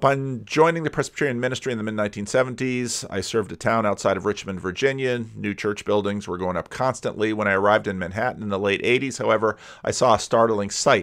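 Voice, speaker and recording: With hardly any pauses, a man talks very fast in a fairly low voice with ordinary pitch variation against a quiet background. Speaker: commentator. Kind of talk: commentary. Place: home room. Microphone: studio mic.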